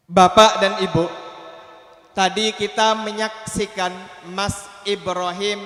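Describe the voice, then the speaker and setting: A high-pitched male voice, very slow and monotone, flat in intonation, amid noticeable background noise and audible room echo. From Aceh, Indonesia. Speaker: Islamic preacher. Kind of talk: sermon.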